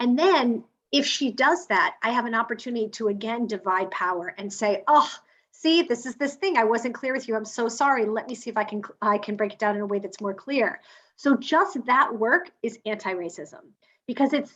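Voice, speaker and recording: A woman's fairly high-pitched voice with lively intonation. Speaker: equity trainer. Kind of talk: webinar panel discussion. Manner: fast.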